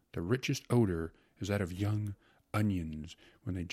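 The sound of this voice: The speaker uses an unforced reading voice. Nothing more stands out.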